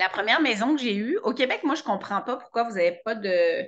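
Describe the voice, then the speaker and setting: A woman speaks in an animated way. Her tone is bright and sharp. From France. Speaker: web show host. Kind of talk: casual chat. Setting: video call.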